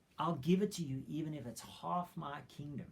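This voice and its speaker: A man uses a put-on character voice, raised and growling. His pitch is fairly high with ordinary variation, and his pace is moderate. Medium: read story. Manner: lavish, gracious.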